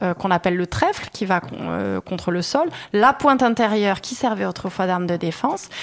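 With lively intonation and a moderate pace, a woman talks over noticeable background noise. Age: 30s. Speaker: craftswoman, workshop owner. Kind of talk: interview. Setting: workshop.

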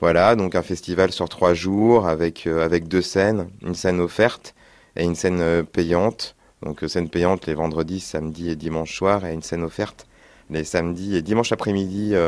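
Against a quiet background, a man speaks in a very deep, low voice with fairly even intonation. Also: moderate pace. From France, Limoges. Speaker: festival coordinator. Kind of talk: radio interview. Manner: halting, many repetitions and fillers.

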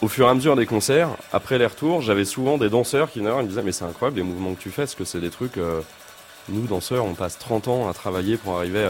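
Over noticeable background noise, a man with a fairly low voice talks at a fairly quick pace with ordinary pitch variation. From Essonne, southern suburbs of Paris. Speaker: guitarist and composer. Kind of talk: interview. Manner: halting.

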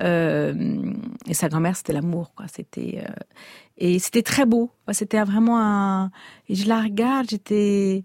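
A somewhat breathy woman at medium pitch and a very slow pace, with long, frequent pauses, in a dry, close sound with no echo. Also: ordinary pitch variation. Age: 50s. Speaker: novelist. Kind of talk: radio interview.

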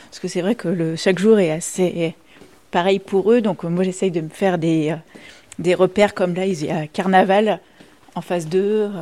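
A woman speaks at a medium pitch and moderate pace with a dark, mellow tone and fairly even intonation. Her loudness swings widely, and she takes long, frequent pauses. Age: young. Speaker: nursing home activity coordinator. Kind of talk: interview.

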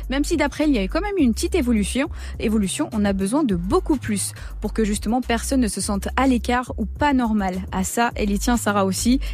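Noticeable background noise fills the clip. Over it, a woman talks at a fairly quick pace. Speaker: radio reporter presenting a portrait. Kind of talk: radio portrait, scripted narration.

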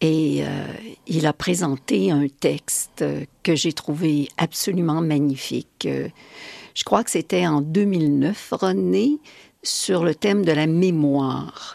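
A woman's very deep, low voice with a dark, mellow tone and lively intonation at a very slow pace, dry and close with no echo. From Quebec. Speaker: poet. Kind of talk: interview.

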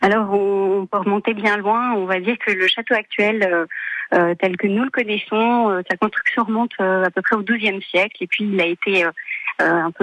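A woman with a medium pitch talks at a fairly slow pace, her intonation fairly even. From France, Chartres area (Beauce). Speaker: château manager. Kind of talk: radio interview. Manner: hesitant, frequent fillers and repetitions.

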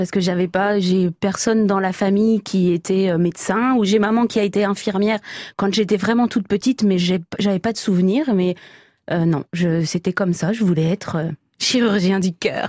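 At a moderate pace, a woman speaks with medium pitch, very even loudness and fairly even intonation against a quiet background. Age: 30s. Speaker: farmer and butcher. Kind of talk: radio interview.

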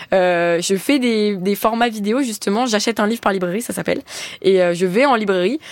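The speaker talks at a moderate pace. Their pitch varies in an ordinary way. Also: woman. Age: 20s. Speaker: book influencer. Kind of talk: radio interview.

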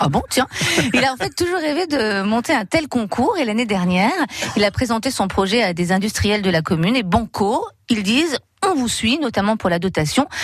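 Over noticeable background noise, a woman speaks at a fairly quick pace in a fairly high pitch, her loudness very even while her pitch swings very widely. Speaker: local radio contributor. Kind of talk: casual chat.

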